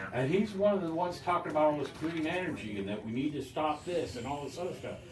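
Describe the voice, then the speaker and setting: A man talks at a very fast pace, his pitch fairly high and his intonation lively. Audible room echo and noticeable background noise surround him. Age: 60s. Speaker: local party member. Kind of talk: casual political discussion. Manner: animated.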